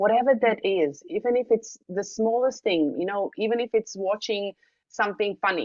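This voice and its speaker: A woman with a non-native accent speaks at a medium pitch. Her pace is moderate and her pitch variation ordinary. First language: not English. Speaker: wellness device trainer. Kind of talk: online training session. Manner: casual with frequent fillers.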